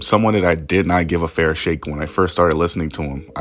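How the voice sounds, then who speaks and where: Very deep, low male voice over noticeable background noise. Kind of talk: casual enthusiastic video intro.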